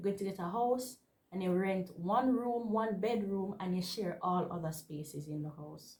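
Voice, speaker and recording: At a moderate pace, a woman talks in a medium pitch. Her pitch varies in an ordinary way. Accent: Jamaican. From Jamaica. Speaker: vlogger and university student. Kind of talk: casual vlog talk to camera.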